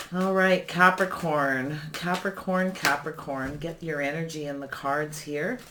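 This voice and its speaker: Speech runs with hardly any pauses against noticeable background noise. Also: fairly slow pace. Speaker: tarot reader. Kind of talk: tarot reading. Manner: calm; slow.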